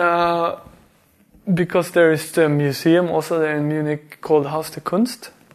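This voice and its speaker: A man's high-pitched voice at a fairly slow pace. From Sweden (Värmland). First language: Swedish. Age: 30s. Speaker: artist. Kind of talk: casual chat.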